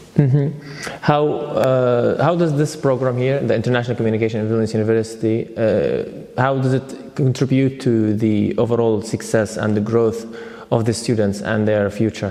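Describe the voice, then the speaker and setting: A man speaks at a moderate pace and medium pitch, with very even loudness, ordinary pitch variation, and noticeable background noise. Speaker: interviewer. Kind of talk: interview questions.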